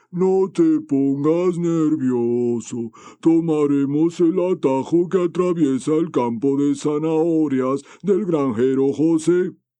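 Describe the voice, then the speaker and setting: Putting on a character voice, a man speaks at a very slow pace and a fairly high pitch. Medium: read story.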